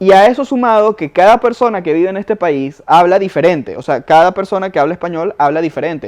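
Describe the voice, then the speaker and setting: This man's delivery is fairly quick, and his pitch varies in an ordinary way. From Venezuela. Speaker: podcast co-host. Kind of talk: casual chat.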